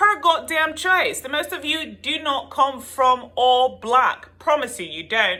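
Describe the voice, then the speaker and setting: In a South African accent, a woman projects a raised, high voice at a fairly slow pace with hardly any pauses, very wide pitch swings and big swings in loudness. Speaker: YouTuber and tarot reader. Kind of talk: opinion vlog rant. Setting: home video with her son present. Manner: animated.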